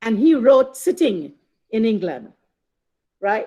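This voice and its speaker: This woman's voice sounds animated, her pitch rising and falling in very wide swings. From Trinidad. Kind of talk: lecture.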